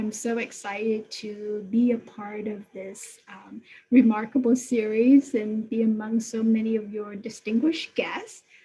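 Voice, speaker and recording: A woman with a Vietnamese accent, fairly high in pitch, at a fairly slow pace with big swings in loudness. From Vietnam, then US as a young refugee. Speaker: technology executive. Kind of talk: interview. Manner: hesitant, many fillers.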